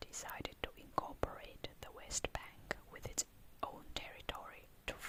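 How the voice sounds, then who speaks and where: A woman whispering at a fairly slow pace over noticeable background noise. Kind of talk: whispered ASMR reading of an encyclopedia article. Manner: whispered.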